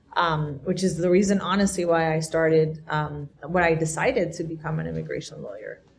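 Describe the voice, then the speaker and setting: With hardly any pauses, a woman speaks at a fairly quick pace in a fairly low, somewhat breathy voice with fairly even intonation. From Colombia. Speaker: immigration lawyer. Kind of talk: panel discussion.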